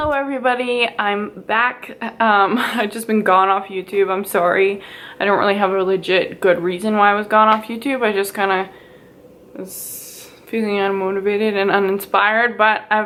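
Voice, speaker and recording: A woman with a Western Canadian accent speaks at a moderate pace. Her medium-pitched voice keeps a fairly even intonation. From Edmonton, Alberta, Canada. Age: 20s. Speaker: beauty YouTuber. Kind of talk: casual talk to camera.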